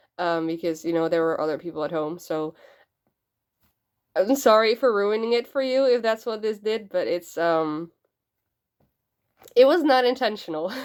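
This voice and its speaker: On a very clean recording with a silent background, a woman speaks at a moderate pace with lively intonation and long, frequent pauses. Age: 20s. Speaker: youtuber doing cosplay and character voices. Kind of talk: casual Q&A vlog. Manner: hesitant, many fillers.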